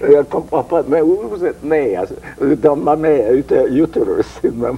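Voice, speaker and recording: A man speaks at a very slow pace with a slight non-native accent. Noticeable background noise is present. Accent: foreign accent, slight in French. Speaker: interviewee, former show producer. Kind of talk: interview. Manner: halting.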